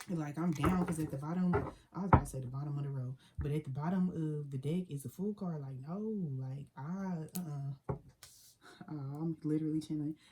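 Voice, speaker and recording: Her pitch is very deep and low for a woman, and she talks at a fairly quick pace. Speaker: psychic tarot reader. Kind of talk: tarot reading. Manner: fast; animated.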